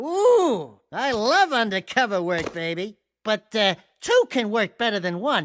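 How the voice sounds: In a cartoonish character voice, a man speaks at a fairly slow pace with a high pitch, big pitch swings and a fairly bright tone.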